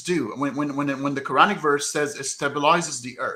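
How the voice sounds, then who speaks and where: A man with an Arabic accent and a bright, sharp tone at a moderate pace. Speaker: debater critical of Quran science claims. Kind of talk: heated debate. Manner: halting, many repetitions and fillers.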